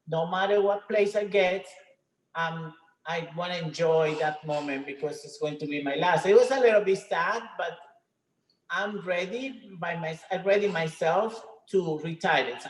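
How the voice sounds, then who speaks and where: In a Spanish accent, the speaker moves at a fairly slow pace with ordinary pitch variation and big swings in loudness. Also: woman, fairly low pitch for a woman. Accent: Spanish accent, non-native English. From Venezuela. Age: 50s. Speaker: retired professional bodybuilder. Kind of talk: interview. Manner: halting.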